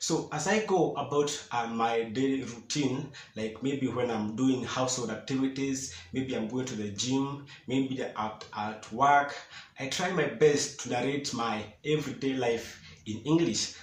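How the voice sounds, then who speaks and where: A man with a Kenyan accent at a fairly slow pace, medium pitch and ordinary pitch variation, with noticeable background noise. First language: Swahili and Kikuyu. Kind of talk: casual talk to camera.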